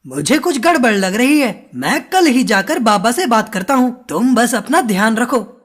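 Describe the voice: A cartoonish character voice with a fairly high pitch moves at a moderate pace. There are hardly any pauses.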